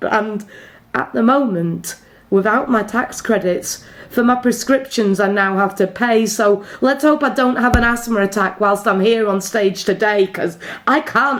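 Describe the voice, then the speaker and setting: Spoken at a fairly slow pace with ordinary pitch variation, this clip has noticeable background noise. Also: woman. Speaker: poet. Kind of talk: slam poetry performance.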